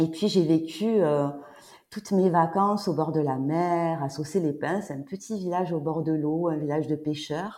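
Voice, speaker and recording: A woman speaks at a fairly slow pace in a fairly low pitch. Her tone is dark and mellow, and her intonation is fairly even. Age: 50s. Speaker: sophrologist. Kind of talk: casual chat. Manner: halting.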